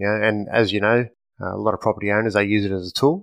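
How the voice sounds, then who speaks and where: A man with an Australian accent, fairly low in pitch, at a fairly quick pace with fairly even intonation, in a dry, close sound with no echo against a quiet background. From Australia, Western Sydney. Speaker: firearms company representative, former police officer. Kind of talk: podcast interview. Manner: hesitant, many fillers.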